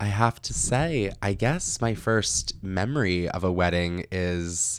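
In an American accent, a man with a very deep, low pitch speaks very slowly with lively intonation. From New York/New Jersey. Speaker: television producer. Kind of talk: casual chat.

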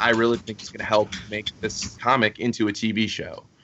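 Moderately paced speech plays out against noticeable background noise. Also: man. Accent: American. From Florida, Fort Myers. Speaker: comic book writer. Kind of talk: casual interview.

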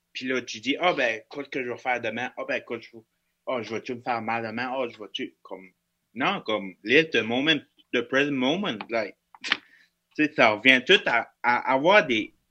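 A man of medium pitch with lively intonation, big swings in loudness, a moderate pace and long, frequent pauses. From northeastern New Brunswick, Canada (Acadian). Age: 20s. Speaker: hospital security officer and podcaster. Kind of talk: casual chat.

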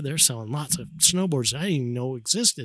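A man with an American accent has an ordinary speaking voice at medium pitch, with lively intonation. He talks at a fairly quick pace on a very clean recording with a silent background. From Utah. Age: 50s. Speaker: snowboarder and brand ambassador. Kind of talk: casual chat. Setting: outdoors on a backyard patio.

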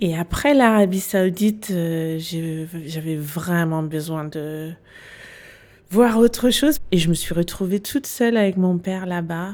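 A woman with a fairly low voice talks very slowly, her pitch varying in an ordinary way. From Denmark. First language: Danish (speaking French). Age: 40s. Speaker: business consultant. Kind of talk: interview. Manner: hesitant.

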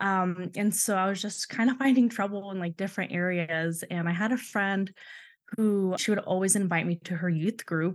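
A woman speaks in a normal speaking voice at a medium pitch and a moderate pace. Her intonation stays fairly even, and the background is quiet. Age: 20s. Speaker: guest sharing church abuse story. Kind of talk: casual interview, personal testimony.

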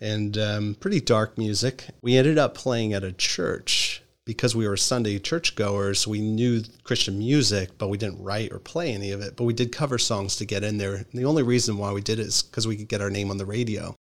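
Here is an unremarkable speaking voice from a man with a fairly low pitch and an American accent. He talks at a fairly quick pace with hardly any pauses and fairly even intonation on a very clean recording with a silent background. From Philadelphia area, Pennsylvania. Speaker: pastor. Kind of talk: interview conversation.

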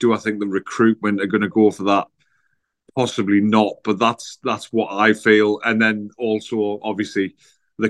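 The man's voice sounds dry and close, without any echo. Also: quiet background. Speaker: football podcast guest. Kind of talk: casual chat. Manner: jovial.

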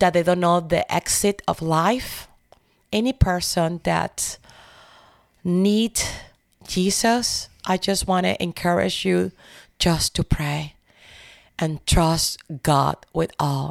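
Speaking with a Spanish accent, a woman goes at a very slow pace with long, frequent pauses. The sound is dry and close with no echo, in a very clean recording over a silent background. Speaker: church prayer team member. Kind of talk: faith testimony interview. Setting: studio. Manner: emotional.

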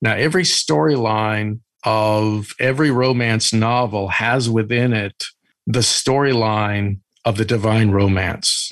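A man talks at a fairly slow pace in a normal speaking voice, medium in pitch. His pitch variation is ordinary and his loudness very even. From Italian-American, US. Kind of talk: interview.

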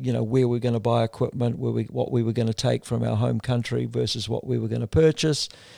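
Someone male speaks with a New Zealand accent. The recording is very clean with a silent background. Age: 60s. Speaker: endurance kayak racer. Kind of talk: interview conversation.

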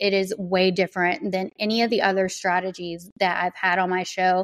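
At a moderate pace, a woman with medium pitch speaks in an American accent. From US South. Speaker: podcast host. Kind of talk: interview.

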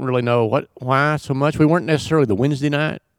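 A man speaks in a plain, everyday voice at a fairly quick pace with ordinary pitch variation, recorded very cleanly against a silent background with a dry, close sound and no echo. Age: 60s. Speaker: retired software entrepreneur. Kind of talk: casual chat.

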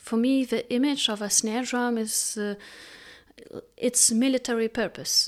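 A woman with a high pitch speaks at a fairly slow pace in a monotone, flat intonation, leaving long, frequent pauses. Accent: Lithuanian. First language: Lithuanian. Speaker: composer. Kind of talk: interview. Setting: video call. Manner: halting, many fillers.

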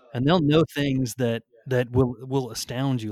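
A man with a plain, everyday voice at medium pitch and a moderate pace, on a very clean recording with a silent background. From military family, moved around (Maine, Germany, California). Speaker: attorney. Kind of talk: podcast interview.

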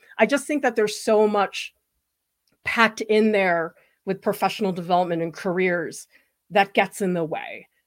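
With long, frequent pauses and ordinary pitch variation, a woman speaks at a moderate pace in a very clean recording with a silent background. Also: medium pitch for a woman. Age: 40s. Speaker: art educator and channel host. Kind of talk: live stream Q and A.

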